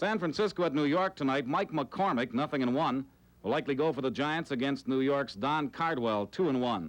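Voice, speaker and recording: In a plain, everyday voice, a man talks at a fairly quick pace with lively intonation and a fairly high pitch. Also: very even loudness. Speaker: TV sports anchor. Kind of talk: TV sports report.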